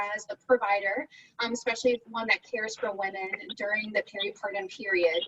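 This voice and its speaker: With lively intonation, a woman speaks in a dry, close sound with no echo. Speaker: physician and addiction researcher. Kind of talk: lecture. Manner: fast.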